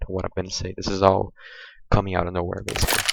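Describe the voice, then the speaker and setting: On a very clean recording with a silent background, a man with a Brazilian accent speaks at a very deep, low pitch. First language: Portuguese. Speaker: gaming youtuber. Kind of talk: gameplay tutorial walkthrough. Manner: hesitant, many fillers.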